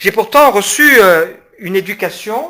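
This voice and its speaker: A man's bright, sharp tone. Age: 40s. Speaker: pastor and public speaker. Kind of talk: public lecture. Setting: conference hall with audience. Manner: hesitant, many fillers.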